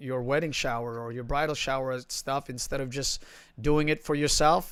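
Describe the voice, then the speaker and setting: Very clean recording, silent background. A man with an American accent speaks at a fairly high pitch. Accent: Filipino and New York. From Philippines. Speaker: livestream host. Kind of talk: casual chat.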